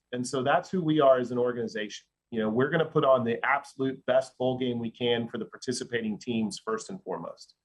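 This man has an ordinary speaking voice with an American accent. His pitch is medium with ordinary variation, and he talks at a fairly quick pace. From Dallas, Texas. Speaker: sports marketing executive. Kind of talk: podcast interview.

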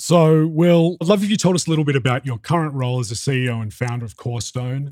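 Delivered in a dry, close sound with no echo, a man with an Australian accent speaks at a very fast pace. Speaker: journalist and podcast host. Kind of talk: interview podcast with scripted narration.

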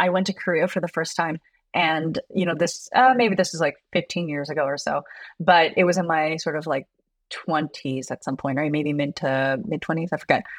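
A woman talks at a moderate pace in a fairly low pitch, with a plain, everyday voice. Her pitch variation is ordinary, and the background is quiet. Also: dry, close sound with no echo. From US, child of Korean immigrants. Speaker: yoga teacher. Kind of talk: interview conversation.

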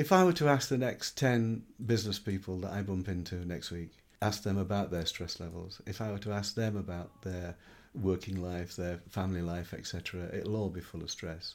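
A man with a Yorkshire accent talks at a moderate pace. His very deep, low pitch shows ordinary variation. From Yorkshire, northern England. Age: 50s. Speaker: business consultant. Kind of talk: interview answers.

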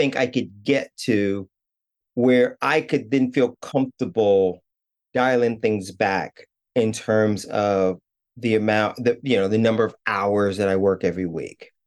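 A speaker with a New York accent. The pitch moves up and down in an ordinary way. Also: man, very even loudness. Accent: New York American. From New York City, Brooklyn. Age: 40s. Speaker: art curator. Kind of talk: coaching conversation.

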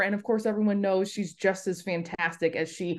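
This is a normal speaking voice with a General American accent and ordinary pitch variation. It moves at a fairly quick pace over a quiet background. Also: woman. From US West Coast, Los Angeles. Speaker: sports broadcaster. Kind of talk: casual interview.

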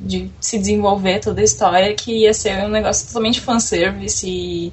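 With a regional Brazilian accent, a woman speaks amid noticeable background noise and audible room echo. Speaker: podcast guest. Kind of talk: casual chat about anime.

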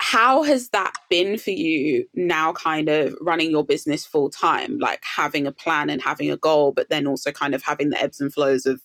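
A woman at a moderate pace with hardly any pauses, in a dry, close sound with no echo. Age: 30s. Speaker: podcast host and career coach. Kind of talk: casual chat.

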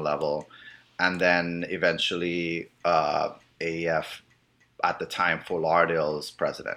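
A man speaks at a fairly slow pace in a very deep, low voice, his tone bright and sharp but his intonation flat and monotone. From Trinidad. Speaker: advertising agency owner. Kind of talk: interview. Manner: hesitant, many fillers.

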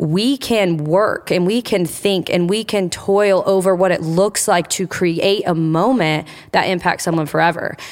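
At a fairly slow pace, a woman talks at medium pitch with fairly even intonation. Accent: Midwestern American. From Indiana. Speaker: church service programming director. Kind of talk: interview.

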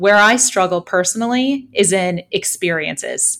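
A woman speaks with an Upper Midwest accent. Her pitch variation is ordinary. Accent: Upper Midwest American. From southwestern Michigan (Holland). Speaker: financial advisor and podcast co-host. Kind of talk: casual chat.

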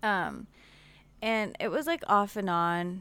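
A woman speaks at a medium pitch with an American accent and ordinary pitch variation, in a plain, everyday voice. The recording is very clean, with a silent background. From Pittsburgh area, Pennsylvania. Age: 20s. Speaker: podcast guest, mother. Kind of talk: casual chat.

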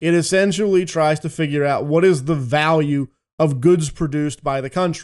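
Against a quiet background, a man with an American accent speaks in an ordinary speaking voice at a fairly high pitch, with ordinary pitch variation and a moderate pace. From Philadelphia, US. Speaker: economic analyst. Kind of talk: interview.

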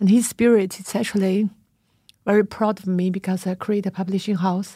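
Monotone, flat intonation in a somewhat breathy voice with a dark, mellow tone, on a very clean recording with a silent background. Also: woman. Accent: Chinese. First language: Chinese. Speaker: podcast host and publisher. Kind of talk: interview. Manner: halting.

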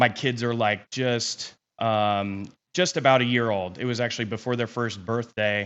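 With a plain, everyday voice and an American accent, a man speaks at a medium pitch and a moderate pace, his intonation fairly even. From Kansas. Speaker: real estate investor. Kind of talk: interview. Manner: casual, filler-heavy.

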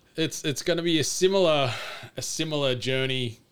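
The speaker is a man with an Australian accent. He talks at a moderate speed. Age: 30s. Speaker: podcaster. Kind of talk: casual chat.

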